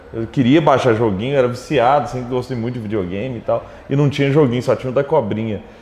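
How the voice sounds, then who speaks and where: A man with a medium-pitched voice talks very fast over noticeable background noise. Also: ordinary pitch variation. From Minas Gerais, Brazil (Triângulo Mineiro, Araguari). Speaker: tech entrepreneur. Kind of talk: interview.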